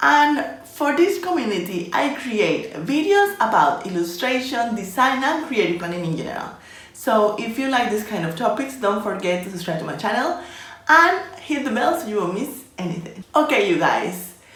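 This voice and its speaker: With a Spanish accent, a woman speaks at a moderate pace and a fairly high pitch, her pitch swinging very widely, amid audible room echo and noticeable background noise. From Colombia. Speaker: illustration and design YouTuber. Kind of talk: casual vlog talking to camera.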